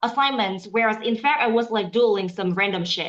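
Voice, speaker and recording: The speaker has a Vietnamese accent and an animated tone. The pace is moderate, with ordinary pitch variation. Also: woman. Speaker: aspiring interpreter. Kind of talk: casual chat.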